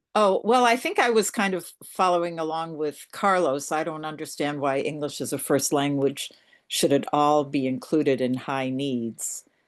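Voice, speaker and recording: At a moderate pace and with hardly any pauses, a woman with a German accent speaks at a very deep, low pitch with lively intonation over a quiet background. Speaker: advisory committee member. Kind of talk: public meeting discussion.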